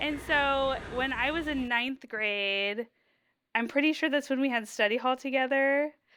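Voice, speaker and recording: In a very clean recording with a silent background, a woman with an American accent uses a raised, projected voice that is high-pitched, bright and sharp, speaking fairly slowly with fairly even intonation. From US Midwest, Ohio. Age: 30s. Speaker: patient sharing health story. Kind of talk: interview.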